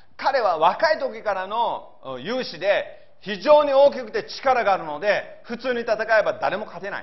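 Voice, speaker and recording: Over noticeable background noise, a man talks at a fairly slow pace in an extremely high pitch, with lively intonation and big swings in loudness. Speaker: pastor. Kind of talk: sermon.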